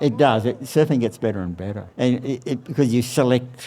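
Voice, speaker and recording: Australian accent from a man with a dark, mellow tone and ordinary pitch variation. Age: 80s+. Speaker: surfboard shaper. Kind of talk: interview. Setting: outdoors beside his surfboard factory.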